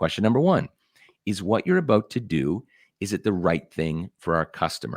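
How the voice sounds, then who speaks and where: With vocal fry and a very deep, low pitch, a man speaks at a fairly quick pace. His intonation is lively, and the sound is dry and close with no echo. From Nova Scotia, Canada. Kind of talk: interview.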